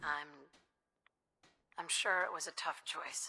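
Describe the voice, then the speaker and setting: A put-on character voice, raspy and at middle pitch, comes through at a fairly slow pace. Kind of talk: game character dialogue. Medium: video game.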